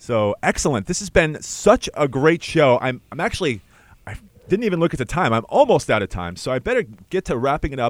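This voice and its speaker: The recording is very clean with a silent background and a dry, close sound with no echo. A man talks with very wide pitch swings. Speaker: student radio host. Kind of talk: radio interview. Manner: fast talker.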